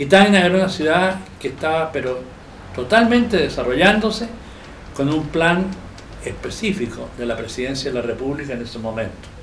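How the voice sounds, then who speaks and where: A man talks at a fairly quick pace in a fairly high pitch, with very wide pitch swings and long, frequent pauses. Audible room echo and noticeable background noise fill the recording. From Chile, Chillán. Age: 80s+. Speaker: architect and local historian. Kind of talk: interview testimony, recollection. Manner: halting, with fillers and self-corrections.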